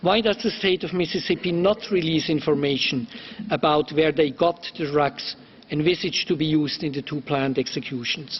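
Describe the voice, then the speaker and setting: Noticeable background noise runs beneath a man whose fairly high voice moves at a moderate pace and shows ordinary pitch variation. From Switzerland. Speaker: human rights lawyer, committee member. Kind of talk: formal questioning at hearing. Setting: UN council hearing. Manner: formal.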